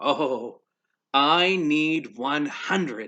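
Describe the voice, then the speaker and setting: A man puts on a character voice. His pitch is fairly high. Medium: read story.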